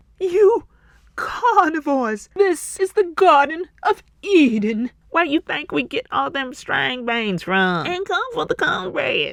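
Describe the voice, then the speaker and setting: A put-on character voice, high in pitch, moves at a fairly slow pace. Its pitch swings very widely. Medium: read story.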